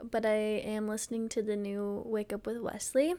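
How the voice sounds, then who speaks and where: On a very clean recording with a silent background, a woman with a normal speaking voice and a fairly high pitch speaks at a moderate pace. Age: 20s. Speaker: podcast co-host. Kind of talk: casual chat.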